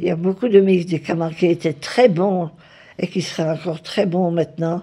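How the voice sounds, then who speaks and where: The woman's voice sits fairly low in pitch with a dark, mellow tone. She talks at a fairly slow pace. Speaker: retired nurse. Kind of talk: interview answer.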